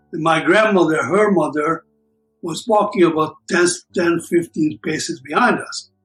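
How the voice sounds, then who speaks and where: Music plays in the background as the speaker talks at a fairly slow pace with ordinary pitch variation. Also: man. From Hungary. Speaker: Holocaust survivor. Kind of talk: oral history interview answer.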